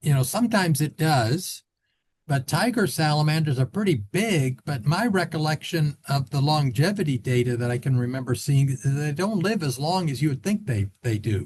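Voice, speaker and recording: A man with a Midwestern American accent speaks at a moderate pace with lively intonation. His voice is fairly high and somewhat breathy. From US Midwest (Illinois). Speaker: biologist. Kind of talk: Q&A after lecture. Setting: video call.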